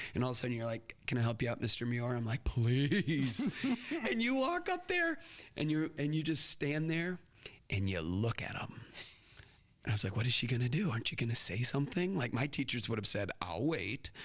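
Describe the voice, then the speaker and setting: Lively intonation marks this man's medium-pitched voice. His pace is fairly quick. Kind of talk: casual interview chat. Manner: animated.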